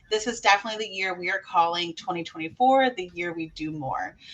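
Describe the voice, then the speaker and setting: A woman talks with lively intonation. Background noise is noticeable. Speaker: podcast host and dog trainer. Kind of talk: casual podcast chat. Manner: loud.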